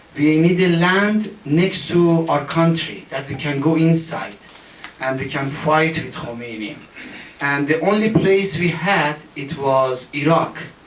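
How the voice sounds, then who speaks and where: Noticeable background noise and audible room echo fill this recording. The man in it talks at a fairly slow pace. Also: fairly high pitch for a man, ordinary pitch variation. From Iran. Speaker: political activist. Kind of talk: testimony. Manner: halting.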